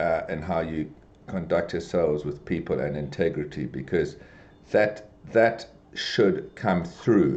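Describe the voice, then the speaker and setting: This man speaks with vocal fry. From South Africa (Durban). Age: 60s. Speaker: business executive. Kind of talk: podcast interview. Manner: halting, many fillers and repetitions.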